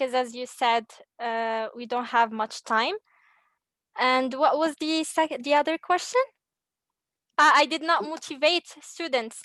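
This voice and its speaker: Against a quiet background, a woman uses a raised, projected voice with a bright, sharp tone, high pitch and ordinary pitch variation at a fairly slow pace, the sound dry and close with no echo. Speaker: trainee teacher. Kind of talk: responding to feedback. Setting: video call.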